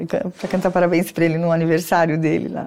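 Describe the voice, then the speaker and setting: A woman's fairly low voice over noticeable background noise. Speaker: athlete's mother. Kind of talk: interview.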